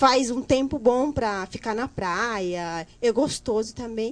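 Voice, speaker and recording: Against a quiet background, a woman speaks at a fairly slow pace, her fairly high pitch showing ordinary variation. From Guinea-Bissau. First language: Guinea-Bissau Creole (speaking Portuguese). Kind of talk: casual chat.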